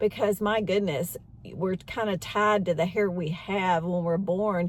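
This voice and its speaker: A woman speaks in a normal speaking voice. Her pace is moderate, with ordinary pitch variation. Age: 60s. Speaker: beauty vlogger. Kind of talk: casual talk to camera. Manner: conversational, with fillers.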